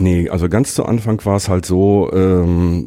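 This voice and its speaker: A dark, mellow tone with fairly even intonation. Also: man. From Ruhr area, Germany. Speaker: podcaster. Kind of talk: casual chat. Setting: office.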